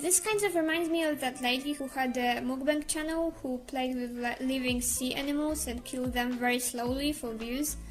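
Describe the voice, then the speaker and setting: Noticeable background noise surrounds a woman with a Slavic accent and a high voice. She barely pauses, her pitch varying in an ordinary way. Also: moderate pace. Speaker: YouTuber, commentary creator. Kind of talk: scripted commentary video. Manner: casual, hesitant.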